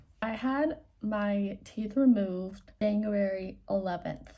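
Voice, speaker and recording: This woman has a dark, mellow, somewhat breathy tone at a medium pitch with ordinary pitch variation. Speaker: vlogger. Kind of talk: casual chat.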